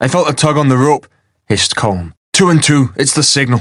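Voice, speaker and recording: A man puts on a character voice, hoarse and at medium pitch. He talks at a fairly quick pace. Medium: read story. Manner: hoarse, terse.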